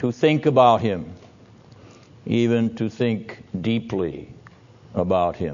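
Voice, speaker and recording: This is a man's voice. He talks at a very slow pace. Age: 60s. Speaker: seminary professor. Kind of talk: lecture. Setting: classroom with audience. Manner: formal.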